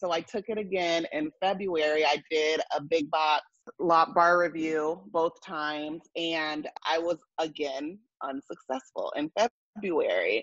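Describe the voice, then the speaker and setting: The voice is in an American accent. The background is quiet and the sound is dry, with no echo. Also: woman. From San Diego, California; California. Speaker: law graduate who passed the bar exam. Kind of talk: interview testimony. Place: home room. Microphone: earbuds.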